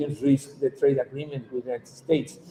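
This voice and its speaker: This man's voice is somewhat breathy. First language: Spanish. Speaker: activist lawyer. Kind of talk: conference talk. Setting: conference panel. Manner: halting.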